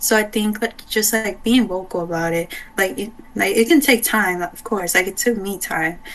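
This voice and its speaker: The voice moves at a moderate pace with ordinary pitch variation, against noticeable background noise. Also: woman, medium pitch for a woman. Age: young. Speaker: interviewee, student. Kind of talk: casual interview. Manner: hesitant, many fillers.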